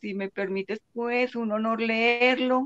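A woman speaks at a slow pace with a fairly high pitch. Her intonation stays fairly even. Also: dry, close sound with no echo, fairly bright tone.

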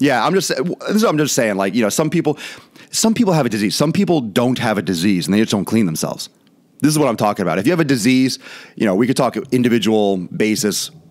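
Against a quiet background, a man races along at a very fast pace with very wide pitch swings. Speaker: fitness vlogger. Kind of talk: casual commentary show. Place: studio. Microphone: studio mic.

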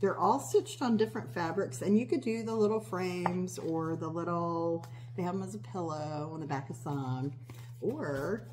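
A woman speaks at a moderate pace with lively intonation and big swings in loudness. There is audible room echo. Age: 50s. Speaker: cross-stitch video creator. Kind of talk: casual show-and-tell vlog. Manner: rambling with many fillers.

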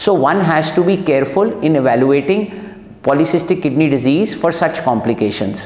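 A man talks at a moderate pace with audible room echo. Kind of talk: medical explainer to camera. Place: studio.

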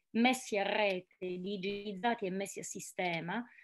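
A woman's fairly slow speech with ordinary pitch variation. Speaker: journalist, speaker. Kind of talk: conference talk. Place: home room. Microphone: webcam.

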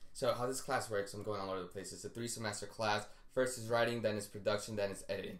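In a room with audible echo, a man talks at a very fast pace with a fairly low pitch and fairly even intonation. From Colombia, raised in the US from age four. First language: Spanish. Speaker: TV writing assistant. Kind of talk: casual chat. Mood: relaxed, animated storytelling. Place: home room. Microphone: camera far.

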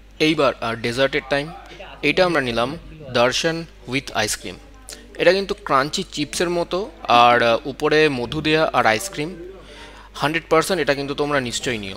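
Faint music sits in the background as a man speaks with ordinary pitch variation. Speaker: food vlogger. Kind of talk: casual vlog chat. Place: boat. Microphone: phone near.

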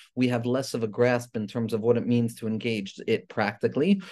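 The tone of this man's voice is dark and mellow. Behind him the background stays quiet. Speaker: religious teacher. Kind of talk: lecture. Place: home room. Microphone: webcam.

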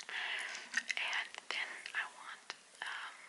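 A woman is whispering. She is soft-spoken. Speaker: vlogger. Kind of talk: casual vlog chat. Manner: soft close-mic whisper with gum. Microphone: phone near.

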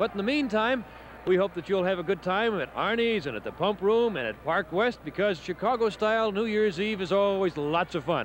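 The man's voice is high-pitched, with ordinary pitch variation at a moderate pace. The sound is dry with no echo, over light background noise. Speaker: TV reporter on location. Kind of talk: live broadcast commentary. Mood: cheerful, light-hearted. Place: street. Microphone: handheld.

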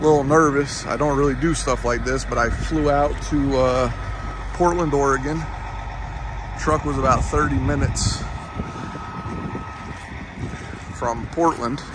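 A man talks at a fairly slow pace, leaving long, frequent pauses. Loud background noise fills the dry sound, which has no echo. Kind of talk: casual vlog chat. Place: garden. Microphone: phone near.

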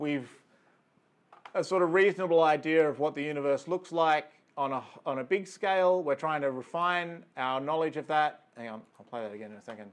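A man speaks fast-ish at a fairly high pitch in an Australian accent. His loudness swings widely. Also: ordinary pitch variation. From rural New South Wales, Australia. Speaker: astrophysicist. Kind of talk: lecture. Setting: video call. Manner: hesitant with fillers.

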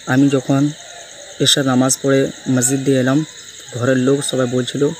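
The intonation is monotone and flat, with noticeable noise in the background. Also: man. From West Bengal, Medinipur. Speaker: Quran reciter. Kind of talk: informal video testimony.

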